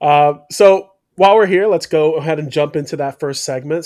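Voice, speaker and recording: A man with an unremarkable speaking voice, fairly high in pitch with ordinary pitch variation, at a moderate pace, in a very clean recording with a silent background. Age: 30s. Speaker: podcast host and former teacher. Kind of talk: casual chat.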